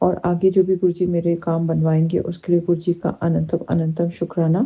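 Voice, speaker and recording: Her voice is soft-spoken and somewhat breathy, a woman speaking at a fairly low pitch with monotone, flat intonation. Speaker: devotee sharing gratitude, teacher. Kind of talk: devotional testimony. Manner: halting.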